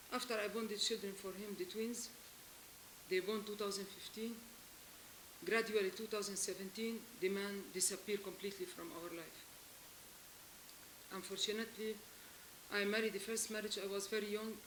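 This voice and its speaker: Her pitch is medium. This woman's intonation stays monotone and flat. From Lebanon. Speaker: abandoned wife seeking help. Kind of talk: testimony. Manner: emotional; halting.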